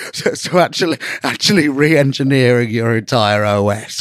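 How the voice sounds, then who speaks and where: In an English accent, a man of medium pitch speaks at a moderate pace, the sound dry and close with no echo. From England. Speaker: podcast host. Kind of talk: casual chat.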